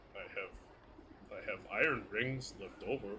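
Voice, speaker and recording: Over clear background noise, a man performs a put-on character voice at a moderate pace. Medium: actual play. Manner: blunt, terse.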